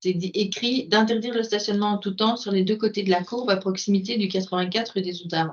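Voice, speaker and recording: A woman speaks very fast at a medium pitch, with hardly any pauses. Her intonation stays fairly even. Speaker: city councillor. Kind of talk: municipal meeting discussion.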